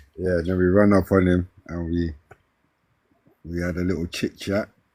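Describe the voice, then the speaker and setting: This man has a very deep, low pitch and a dark, mellow tone with a South London accent. His intonation is monotone and flat. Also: moderate pace. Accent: South London twang. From South London, Brixton. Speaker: hip-hop artist. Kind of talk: casual interview.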